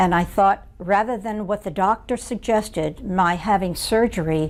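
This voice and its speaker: A woman speaks at a moderate pace with a medium pitch, ordinary pitch variation and some vocal fry. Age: 80s+. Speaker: patient. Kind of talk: testimony. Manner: halting.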